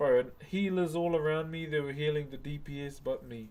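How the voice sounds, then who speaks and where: A man with a fairly high pitch and ordinary pitch variation talks amid noticeable background noise. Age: 30s. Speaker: wood carver and live streamer. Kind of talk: casual live stream chat. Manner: relaxed, laid-back.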